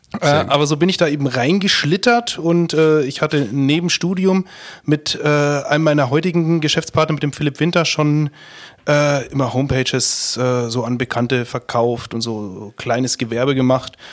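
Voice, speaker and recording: This is an ordinary speaking voice, a man's with a fairly high pitch and ordinary pitch variation. He talks at a moderate pace in a very clean recording with a silent background. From Upper Palatinate, Bavaria. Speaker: company founder and managing director. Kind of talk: podcast interview.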